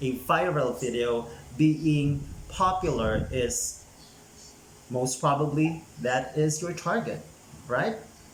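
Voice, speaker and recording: Audible room echo, noticeable background noise, and a very slow pace of speech. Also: man. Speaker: YouTuber giving channel growth tips. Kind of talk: casual vlog tutorial. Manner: energetic, chatty.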